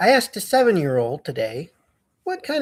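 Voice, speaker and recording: With an American accent, the speaker keeps to a moderate pace. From United States. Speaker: science educator. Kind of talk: educational talk to camera. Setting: studio under construction. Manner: animated.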